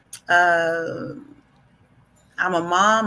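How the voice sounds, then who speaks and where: Her tone is bright and sharp, her pitch medium, in a New York accent. The woman's intonation stays fairly even. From New York City (Harlem). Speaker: educator and author. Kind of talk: self-introduction.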